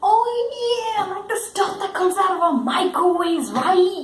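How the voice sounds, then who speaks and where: The voice is a put-on character voice at an extremely high pitch. A slight echo is audible. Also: moderate pace. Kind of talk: comic overacting. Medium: comedy sketch. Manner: smug, laughing at own remarks.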